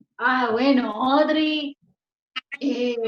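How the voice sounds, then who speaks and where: Her high-pitched voice, a woman's, holds fairly even intonation. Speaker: actress. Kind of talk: panel discussion.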